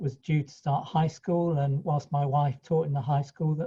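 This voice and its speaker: A man speaks in a dark, mellow, somewhat breathy tone at a fairly high pitch. His delivery is monotone and flat, at a moderate pace. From East Anglia, England (Ipswich, Suffolk). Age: 60s. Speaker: franchisee accountant. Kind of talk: interview. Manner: halting, with many restarts.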